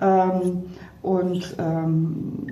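A medium-pitched woman's voice with noticeable background noise and audible room echo. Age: 40s. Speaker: physician and company director, book co-author. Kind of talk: interview. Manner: hesitant, many fillers and repetitions.

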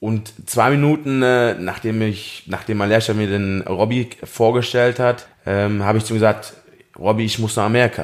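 This man has a normal speaking voice with a fairly low pitch. He talks at a moderate pace with fairly even intonation. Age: 30s. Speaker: farrier. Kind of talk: interview.

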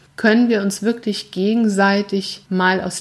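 A woman with a medium-pitched, somewhat breathy voice speaks very slowly and with fairly even intonation. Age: 40s. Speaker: life coach and podcast host. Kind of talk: solo podcast monologue, motivational. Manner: earnest, emphatic.

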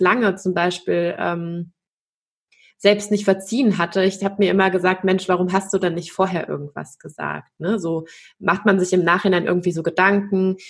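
A woman with a medium pitch talks in a monotone, flat way at a moderate pace, the background quiet. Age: 30s. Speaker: consciousness coach and dance teacher. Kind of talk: interview about personal trauma and healing.

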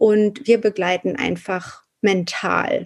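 Her voice is fairly high-pitched, and this woman has a dark, mellow tone. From Hamburg, northern Germany. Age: 40s. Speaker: postpartum doula and naturopath. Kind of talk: interview.

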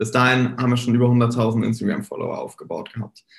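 This man's pitch falls in the medium range. There is a somewhat breathy quality to his voice. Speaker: social media marketing entrepreneur. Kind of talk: casual chat. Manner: frequent filler hesitations.

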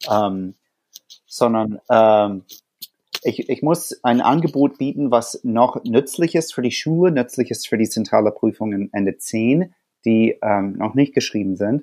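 Speaking at a very slow pace, a man with an American accent has a dark, mellow tone at medium pitch, heard dry and close with no echo. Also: lively intonation. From USA. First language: English (speaking German). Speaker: teacher. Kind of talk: interview. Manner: hesitant, many fillers.

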